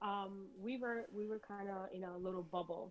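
A woman speaks at a moderate pace in an ordinary speaking voice, her intonation fairly even. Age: 30s. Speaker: guest. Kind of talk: casual chat.

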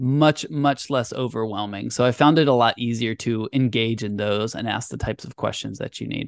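A man's normal speaking voice at a medium pitch and moderate pace, with fairly even intonation and a dry, close sound with no echo. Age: 30s. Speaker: podcast co-host, web developer. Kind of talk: casual chat.

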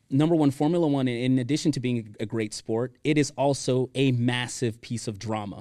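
A normal speaking voice from a man with an American accent, medium in pitch, with ordinary pitch variation, a fairly quick pace and hardly any pauses. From Miami, Florida. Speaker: event planning professional and former pro soccer player. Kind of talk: casual interview chat.

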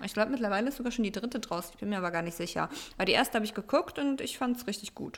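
Very fast and fairly high-pitched, a woman talks with ordinary pitch variation and big swings in loudness. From Germany. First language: Russian (speaking German). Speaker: podcast co-host. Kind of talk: casual chat.

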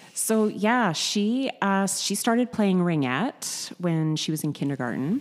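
A woman speaks at a medium pitch with a Canadian accent. Her pitch swings very wide, and her pace is fairly slow. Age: 40s. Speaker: gym member. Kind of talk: interview. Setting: studio.

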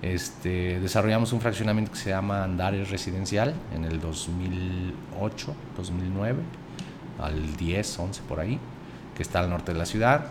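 A man's very deep, low voice with a central Mexican accent, a fairly slow pace, ordinary pitch variation and audible room echo. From central Mexico (Zacatecas, raised in Aguascalientes from age 11). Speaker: accountant and investment fund director, former state finance secretary. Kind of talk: interview conversation.

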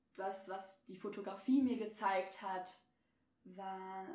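Speech from a woman unfolds very slowly. Her words carry audible room echo. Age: 20s. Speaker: media student and freelance photographer. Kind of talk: casual interview chat.

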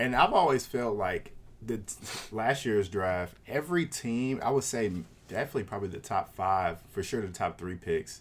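At a moderate pace and medium pitch, a man with a normal speaking voice and lively intonation is heard on a very clean recording with a silent background. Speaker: podcast host. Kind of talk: casual banter, sports podcast.

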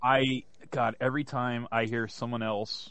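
A man's unremarkable speaking voice at a medium pitch, with fairly even intonation and a quiet background. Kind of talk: casual banter.

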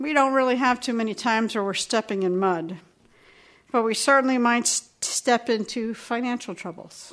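This woman has an unremarkable speaking voice, pitched fairly high with ordinary variation. She keeps a moderate pace against a quiet background. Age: 60s. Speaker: pastor. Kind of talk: sermon.

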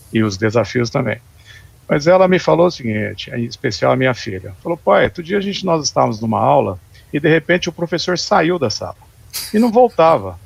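A man talks at a fairly quick pace with a fairly high pitch and vocal fry. His pitch swings very widely. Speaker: live stream host. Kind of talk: moderated panel discussion.

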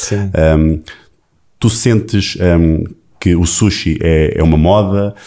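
A man with a European Portuguese accent speaks in a very deep, low pitch with a dark, mellow tone and fairly even intonation, on a very clean recording with a silent background. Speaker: podcast host. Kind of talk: interview conversation. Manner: halting, many repetitions.

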